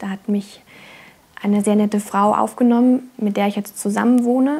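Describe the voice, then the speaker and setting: A somewhat breathy woman's voice at a moderate pace, with ordinary pitch variation. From Germany, Trier (Rhineland-Palatinate). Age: 20s. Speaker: apprentice violin maker. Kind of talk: interview testimony and craft explanation. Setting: workshop. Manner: hesitant with fillers. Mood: friendly, calm.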